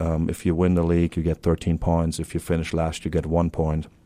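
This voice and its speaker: A man with a German accent speaks at a fairly quick pace in a very deep, low pitch with a dark, mellow tone. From Germany. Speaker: university athletic director. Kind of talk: interview. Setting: studio.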